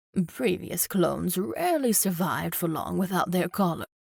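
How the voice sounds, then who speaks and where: A woman performs a put-on character voice at a medium pitch. She keeps a moderate pace. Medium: read story. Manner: cold, clinical, mocking.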